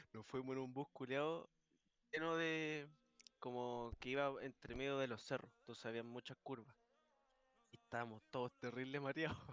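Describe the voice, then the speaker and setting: A man's medium-pitched voice with a Chilean accent, at a moderate pace with fairly even intonation and long, frequent pauses, in a dry, close sound with no echo. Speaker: podcast host. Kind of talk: casual chat. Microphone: echo on his stream.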